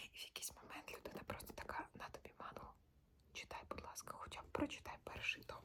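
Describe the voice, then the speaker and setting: The speaker is a woman. She is whispering. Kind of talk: ASMR casual talk to camera about books. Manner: whispered, soft-spoken.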